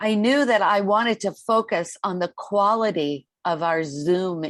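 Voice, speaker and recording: A woman's lively intonation at a fairly slow pace, with hardly any pauses. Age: 60s. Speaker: life coach and corporate trainer. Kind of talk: interview conversation. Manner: hesitant, many fillers.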